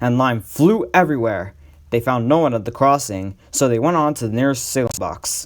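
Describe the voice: Plain reading aloud with ordinary pitch variation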